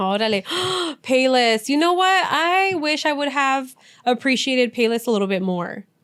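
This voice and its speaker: In a Spanish accent, a woman speaks at a moderate pace with a high pitch that swings very widely. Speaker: podcast co-host. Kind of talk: casual chat.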